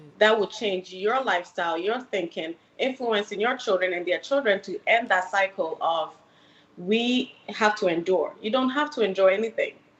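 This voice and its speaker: A woman with an American accent speaks at a medium pitch with ordinary pitch variation. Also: moderate pace. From Ghana, then New York City from age 15. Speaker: licensed mental health counselor. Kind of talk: podcast interview.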